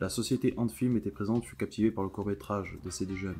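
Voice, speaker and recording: Very fast speech from a man with a fairly low pitch, ordinary pitch variation, and music in the background. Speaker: YouTuber discussing a cartoon series. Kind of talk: commentary video, partly read script.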